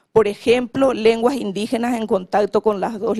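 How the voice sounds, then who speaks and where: A woman speaks with a Paraguayan accent at a fairly slow pace. Her tone is dark and mellow, with fairly even intonation. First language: Guarani (speaking Spanish). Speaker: government official on language policy. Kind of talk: conference panel talk. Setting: conference panel.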